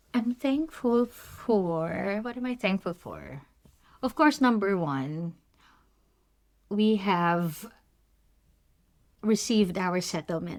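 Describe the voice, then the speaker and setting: A medium-pitched woman in a Filipino accent, very slow and full of long, frequent pauses, with lively intonation and big swings in loudness. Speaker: nurse podcast co-host. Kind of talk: casual chat.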